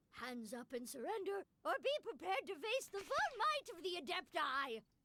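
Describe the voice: A woman uses a put-on character voice, pitched extremely high with big pitch swings. Her tone is bright and sharp, and her pace is moderate.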